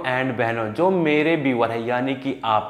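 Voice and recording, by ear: Over clear background noise, a man talks at a moderate pace with fairly even intonation.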